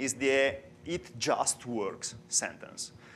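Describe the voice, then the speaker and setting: A man with an Italian accent at a very slow pace. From Italy. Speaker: software developer and conference speaker. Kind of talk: conference talk. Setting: stage with audience. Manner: halting.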